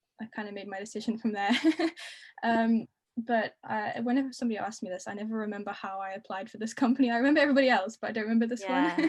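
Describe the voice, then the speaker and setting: A woman with a British accent speaks very fast at a fairly high pitch, with ordinary pitch variation and big swings in loudness. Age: 20s. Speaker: degree apprentice. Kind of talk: casual interview. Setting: video call.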